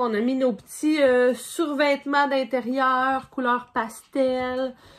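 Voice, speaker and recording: The delivery is very slow, with a Quebec accent. Intonation stays monotone and flat. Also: woman, high pitch for a woman. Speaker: podcast co-host. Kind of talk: casual chat. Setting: cabin indoors. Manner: relaxed.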